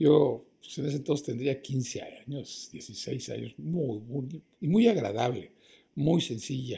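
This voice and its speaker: A man's fairly high, dark, mellow voice, somewhat breathy, at a very slow pace with ordinary pitch variation. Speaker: actor. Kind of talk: interview.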